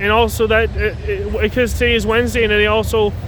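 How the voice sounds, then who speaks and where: Audible room echo and noticeable background noise around a voice with a Canadian accent. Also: man. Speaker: railfan vlogger. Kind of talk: casual live commentary. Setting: outdoors trackside. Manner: halting, self-correcting.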